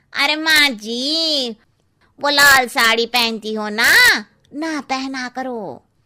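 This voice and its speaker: A woman's high-pitched, cartoonish character voice at a very slow pace. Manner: blunt, cheeky.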